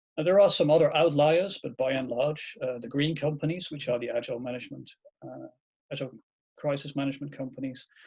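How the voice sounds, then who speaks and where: A man with a Dutch accent talks at a very fast pace in a fairly high pitch, somewhat breathy. His intonation is fairly even while his loudness swings widely. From Netherlands. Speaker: agile consultant, webinar host. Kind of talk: webinar presentation.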